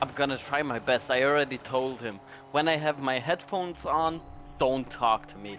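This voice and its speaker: Someone talks at a moderate pace with a Polish accent while music plays in the background. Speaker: livestreamer. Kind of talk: casual chat.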